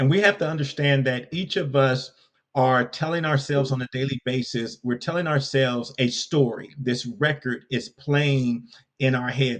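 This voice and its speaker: The speaker has an American accent and a normal speaking voice. The pitch varies in an ordinary way at a moderate pace. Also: man. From US West Coast, Compton, California. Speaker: leadership coach and speaker. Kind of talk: podcast interview.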